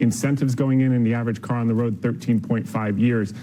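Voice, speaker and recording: This man has an ordinary speaking voice with a medium pitch. His intonation is fairly even. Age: 40s. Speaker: stock market commentator. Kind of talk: TV interview. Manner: fast, punchy.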